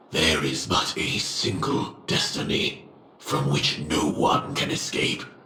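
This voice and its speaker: A put-on character voice from a man, delivered at a fairly slow pace. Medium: machinima. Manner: measured, restrained.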